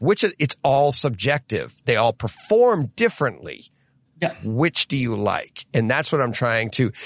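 Over a quiet background, a man speaks at a fairly slow pace with very wide pitch swings and vocal fry. The sound is dry and close, with no echo. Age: 50s. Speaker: podcast host. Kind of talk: casual chat.

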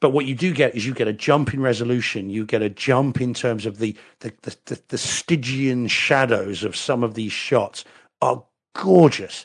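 A man's medium-pitched voice with an English accent and ordinary pitch variation. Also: moderate pace. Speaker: lawyer. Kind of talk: casual chat.

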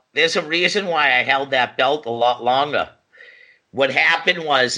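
With an American accent, a man speaks in an ordinary speaking voice at a medium pitch with ordinary variation. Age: 40s. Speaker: professional wrestler. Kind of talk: casual chat.

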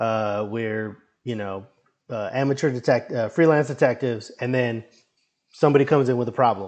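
With an American accent, a man in an unremarkable speaking voice talks at a moderate pace and medium pitch with ordinary pitch variation. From Brownsville, Texas (US-Mexico border). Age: 30s. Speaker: comic book writer and indie wrestler. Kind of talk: casual chat.

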